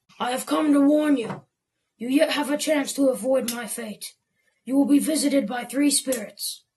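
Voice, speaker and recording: A raspy, female-sounding put-on character voice speaks at a high pitch and a moderate pace. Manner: solemn, warning, sepulchral.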